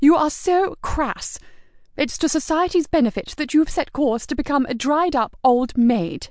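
A shrill, put-on character voice, female-sounding and high-pitched for a woman, at a moderate pace. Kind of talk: Victorian upper-class drama. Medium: read story. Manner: haughty, petulant, shrill.

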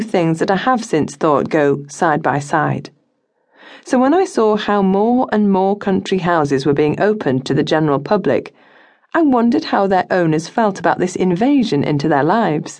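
At a moderate pace, a woman speaks at medium pitch with very wide pitch swings and very even loudness against a quiet background. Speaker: audiobook narrator. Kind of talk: audiobook narration of a memoir, read aloud in first person. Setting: studio. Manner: measured, reflective, wry, storyteller's pace.

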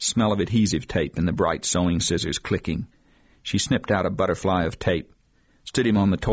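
A natural voice, reading aloud

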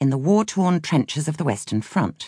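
Against a quiet background, a woman speaks with vocal fry in a dry, close sound with no echo. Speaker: audiobook narrator. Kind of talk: audiobook narration of a memoir.

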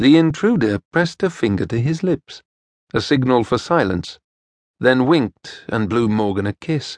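With a plain, everyday voice, a man speaks at a medium pitch and moderate pace with lively intonation, sounding dry and close with no echo over a quiet background. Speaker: audiobook narrator. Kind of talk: dramatic audiobook narration of a historical romance. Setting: studio.

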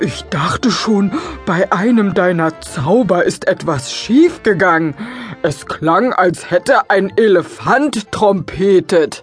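A woman speaks in a put-on character voice at a medium pitch and a fairly slow pace. Clear music plays in the background. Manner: worried, caring.

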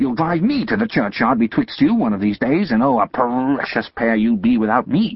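Doing a put-on character voice, a man speaks in a shrill tone at a medium pitch, his intonation lively. He keeps a moderate pace with hardly any pauses and very even loudness. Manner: shrill, scolding, sharp-tongued.

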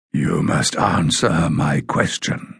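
The put-on character voice has a raspy quality. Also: man, very deep, low pitch for a man. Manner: warning, menacing.

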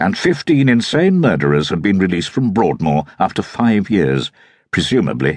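The passage is read aloud in a natural voice.

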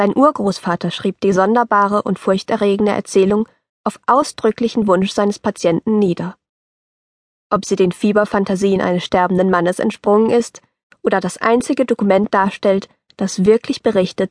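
A woman with a normal speaking voice at a medium pitch. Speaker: audiobook narrator. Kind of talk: scripted audiobook narration, reading a letter aloud in an elderly grandfather's voice. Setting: studio.

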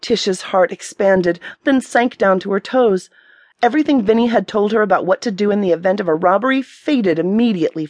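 The recording is plain reading aloud.

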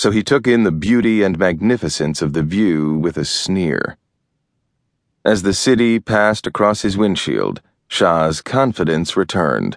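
In a dramatic tone, a man with a fairly low pitch speaks at a moderate pace with ordinary pitch variation. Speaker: audiobook narrator. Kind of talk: audiobook narration of a thriller, read aloud. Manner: dramatic, tense, measured pacing with suspenseful build; formal, polished, steady storyteller delivery.

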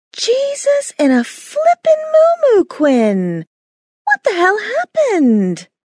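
A woman puts on a character voice, shrill and extremely high in pitch. She speaks at a very slow pace. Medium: read story. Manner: loud, blunt, profane.

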